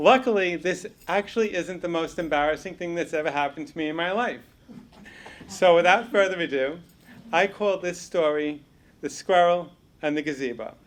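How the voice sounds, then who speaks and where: With long, frequent pauses, a man talks at a moderate pace in a high pitch with ordinary pitch variation. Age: 60s. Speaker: storyteller. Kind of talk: storytelling.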